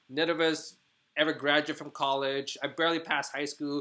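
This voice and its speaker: A man talks at a fairly quick pace in a bright, sharp tone on a very clean recording with a silent background. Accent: Vietnamese. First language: Vietnamese. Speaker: podcast host and hookah business owner. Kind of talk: casual chat. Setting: video conference.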